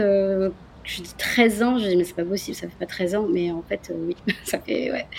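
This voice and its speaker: A woman's voice over noticeable background noise. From France, Marseille. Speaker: tour guide entrepreneur. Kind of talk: interview.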